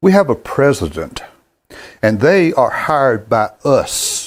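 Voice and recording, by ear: Slow and at medium pitch, a man talks with big pitch swings. The recording is very clean, with a silent background.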